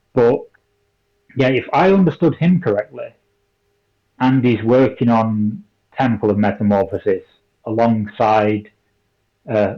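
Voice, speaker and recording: A man speaks at a fairly slow pace in a medium pitch. His tone is dark and mellow. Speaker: miniature painting content creator. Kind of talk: casual podcast chat. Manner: hesitant, repeats words. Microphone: poor audio quality, room echo.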